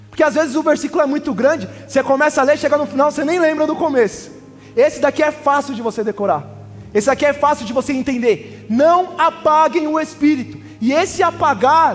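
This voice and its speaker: Over noticeable background noise, a man talks at a fairly quick pace in an extremely high pitch. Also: ordinary pitch variation. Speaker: pastor. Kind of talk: sermon. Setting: church. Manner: fast.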